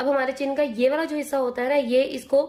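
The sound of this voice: A woman's high-pitched voice with a slightly mellow tone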